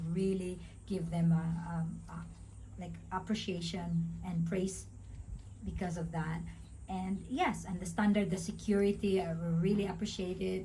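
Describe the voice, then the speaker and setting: With a Visayan Filipino accent, a woman speaks at a fairly slow pace amid noticeable background noise and audible room echo. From Philippines, Visayas. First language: Bisaya (Cebuano). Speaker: vlogger. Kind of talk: casual chat. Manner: halting, stuttering.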